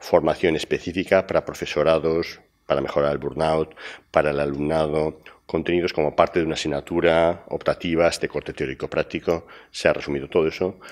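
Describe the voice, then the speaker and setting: A man speaks at a fairly quick pace with a very deep, low pitch and monotone, flat intonation. The background is quiet. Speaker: university professor presenting a program; conference speaker. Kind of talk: conference talk. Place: hall.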